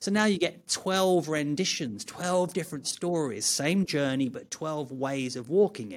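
A plain, everyday voice from a man, fairly high in pitch, lively in intonation, fairly slow in pace, with hardly any pauses. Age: 50s. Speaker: martial arts teacher. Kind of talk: casual chat.

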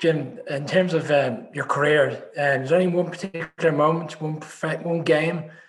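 Speaking at a moderate pace with hardly any pauses, a man with a strong Irish accent uses a fairly high pitch and fairly even intonation over noticeable background noise. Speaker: podcast co-host. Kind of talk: interview.

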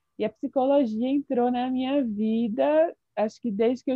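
High-pitched female speech at a moderate pace, ordinary in its pitch variation. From Brasília, Brazil. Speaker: psychologist. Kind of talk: radio interview.

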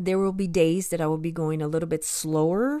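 In an American accent, a woman with a fairly low pitch and a dark, mellow tone speaks with ordinary pitch variation. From US (moved from Brazil at age six). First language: Portuguese. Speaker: ESL teacher and podcast host. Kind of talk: solo educational podcast monologue. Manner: deliberately paced for learners.

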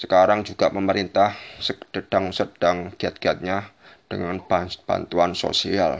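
The speech is fairly slow, with a monotone, flat intonation. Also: man. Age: 20s. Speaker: podcaster. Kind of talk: solo monologue commentary. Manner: halting with many repetitions.

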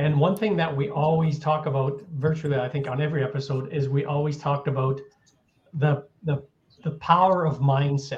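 A somewhat breathy voice at a moderate pace with fairly even intonation. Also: man. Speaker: health podcast co-host. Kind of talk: casual chat.

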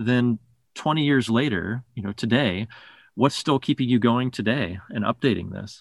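A man with medium pitch and ordinary pitch variation talks in an ordinary speaking voice. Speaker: podcast host. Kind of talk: interview.

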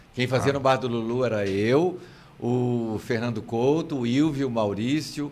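A man of medium pitch speaks at a moderate pace, with audible room echo around him. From Minas Gerais countryside, Brazil. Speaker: theatre actor and comedian. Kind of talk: casual interview chat.

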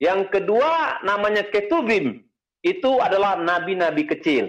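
Speech unfolds at a moderate pace. Very wide pitch swings mark the delivery. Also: man. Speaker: pastor teaching Bible doctrine. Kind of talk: lecture. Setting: video call. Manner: halting, many fillers.

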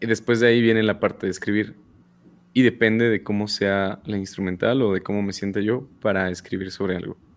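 Here a man speaks at a fairly quick pace. His fairly low voice holds a fairly even intonation. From State of Mexico. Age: 20s. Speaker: music producer and rapper. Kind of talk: casual interview.

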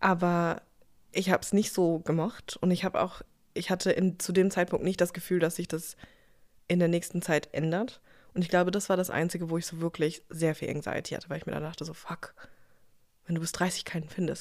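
With monotone, flat intonation and long, frequent pauses, a woman at a fairly low pitch speaks on a very clean recording with a silent background. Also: fairly quick pace. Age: 30s. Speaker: podcast co-host. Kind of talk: casual chat.

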